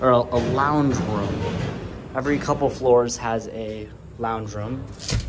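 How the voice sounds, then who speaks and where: Over noticeable background noise, a man speaks fairly slowly, with ordinary pitch variation. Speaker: student vlogger. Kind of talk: casual vlog chat. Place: hall. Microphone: phone near.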